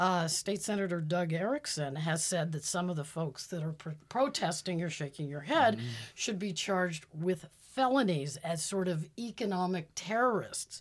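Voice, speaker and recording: With an American accent and a normal speaking voice, a woman talks at a moderate pace with lively intonation, fairly low pitch and hardly any pauses, on a very clean recording over a silent background. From Pittsburgh, Pennsylvania. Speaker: political analyst. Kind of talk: interview.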